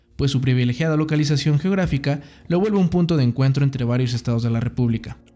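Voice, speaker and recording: A man with a fairly high voice rattles along at a very fast pace, his intonation lively. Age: 20s. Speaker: podcast host. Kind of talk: scripted narration.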